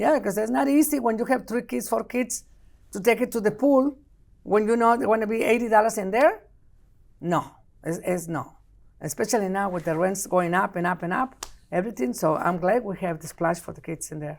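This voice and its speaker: A woman with a strong Mexican accent speaks in an animated tone at a fairly quick pace. Her intonation is lively, and her loudness swings widely. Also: medium pitch for a woman. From Mexico. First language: Spanish. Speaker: city council member. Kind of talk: interview.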